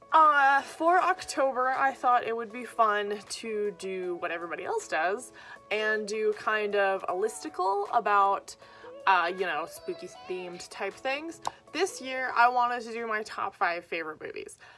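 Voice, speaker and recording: Music plays in the background as a woman with a fairly high pitch speaks with lively intonation. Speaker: vlogger and writer. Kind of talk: casual vlog monologue. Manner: hesitant, many fillers.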